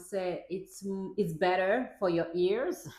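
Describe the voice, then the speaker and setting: A woman talks at a very slow pace with a non-native accent. Her pitch variation is ordinary. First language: not English. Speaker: parenting vlogger; mother. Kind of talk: casual talk to camera, partly reading from a script. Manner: reads from a script.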